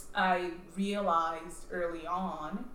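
A woman speaks at a fairly low pitch, with audible room echo. Noticeable background noise is present. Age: 30s. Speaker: financial consultant. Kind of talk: casual interview.

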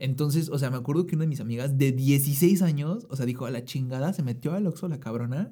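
A man speaks at a very fast pace with a fairly high pitch and ordinary pitch variation. His tone is dark, mellow and somewhat breathy. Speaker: podcast co-host. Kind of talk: casual chat. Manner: excitable.

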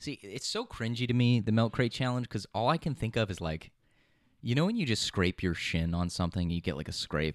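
A man's plain, everyday voice at medium pitch, lively in intonation and fairly quick in pace, on a very clean recording with a silent background. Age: 20s. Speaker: podcast co-host and producer. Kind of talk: casual chat. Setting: studio.

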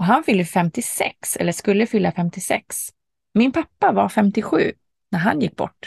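Somewhat breathy, a woman speaks at a fairly slow pace with lively intonation in a dry, close sound with no echo. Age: 40s. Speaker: podcast host. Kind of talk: reflective monologue.

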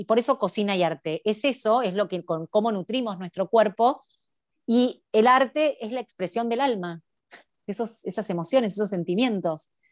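In a very clean recording with a silent background and a dry, close sound with no echo, a woman with an unremarkable speaking voice talks at a moderate pace, her pitch fairly high with ordinary variation. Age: 30s. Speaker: cooking and art teacher. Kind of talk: interview.

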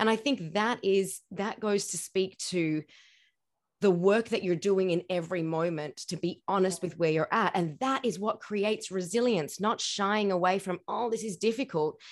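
This woman has a plain, everyday voice, talking at a moderate pace with a medium pitch and ordinary pitch variation. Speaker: podcast host. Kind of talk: interview.

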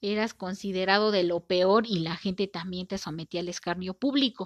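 A woman with a Mexican accent talks at a fairly slow pace against a quiet background. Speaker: podcast host. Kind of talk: casual monologue. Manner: informal, conversational.

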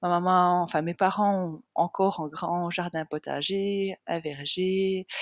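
A woman's fairly low, monotone, flat voice at a very slow pace with hardly any pauses, in a dry, close sound with no echo. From Switzerland, Jura region. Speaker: nutrition coach and podcast host. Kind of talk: personal storytelling monologue. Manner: unscripted, hesitant with fillers.

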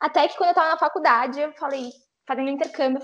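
Lively intonation colors a woman's high-pitched voice. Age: 20s. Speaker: travel influencer. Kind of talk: casual chat.

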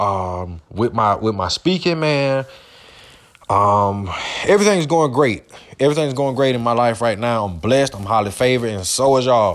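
Moderate-paced speech from a man, medium in pitch, over noticeable background noise. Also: lively intonation. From US South, Georgia. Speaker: podcast host. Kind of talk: motivational monologue. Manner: frequent repetitions and false starts.

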